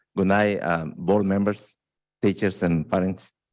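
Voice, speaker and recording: A man with a Spanish accent, fairly low pitch, fairly even intonation and a moderate pace, in a very clean recording with a silent background. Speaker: parent leader. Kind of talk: acceptance speech. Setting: board meeting. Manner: halting.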